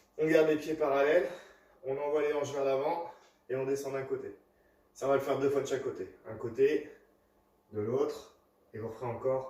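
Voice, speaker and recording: Audible room echo surrounds a man speaking at a moderate pace with long, frequent pauses. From US Midwest (South Dakota). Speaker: fitness coach. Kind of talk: workout tutorial. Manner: instructive, paced.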